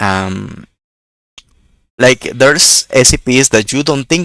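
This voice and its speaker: Bright and sharp, a man's voice carries vocal fry at a fairly slow pace. The sound is dry and close with no echo. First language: not English. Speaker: YouTube reaction creator. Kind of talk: casual reaction commentary. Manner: halting, many fillers and repetitions.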